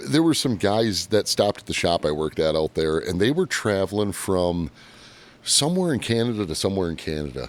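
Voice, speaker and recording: A man with a Michigan accent and a fairly low pitch talks at a fairly quick pace with very wide pitch swings. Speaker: podcast host, mechanic. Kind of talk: casual chat.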